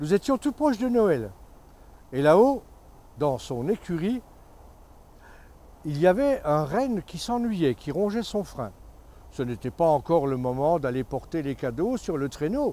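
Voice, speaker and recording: Fairly high for a man, his voice has a dark, mellow tone and very wide pitch swings. He talks at a fairly slow pace, with long, frequent pauses. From Moselle-Est, France. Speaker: storyteller. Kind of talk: read story.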